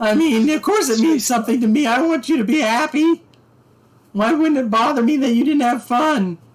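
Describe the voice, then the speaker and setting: This put-on character voice sits high in pitch and moves at a moderate pace. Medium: actual play. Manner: earnest, warm.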